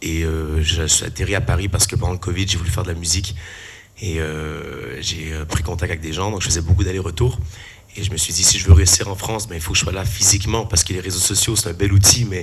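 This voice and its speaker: A fairly quick man's voice, very deep and low, with fairly even intonation, audible room echo and noticeable background noise. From Canada. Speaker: musician and performer. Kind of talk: panel talk, self-introduction. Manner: hesitant, many fillers.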